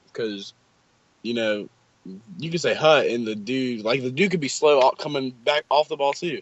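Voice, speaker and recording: This man has an unremarkable speaking voice with an American accent, at medium pitch. He talks at a fairly quick pace with ordinary pitch variation. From West Virginia. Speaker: college football recruit. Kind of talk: casual interview. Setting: video call.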